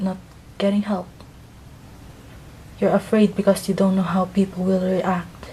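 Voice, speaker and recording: With a non-native accent, a woman speaks at a medium pitch in a monotone, flat intonation. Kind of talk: personal story narration.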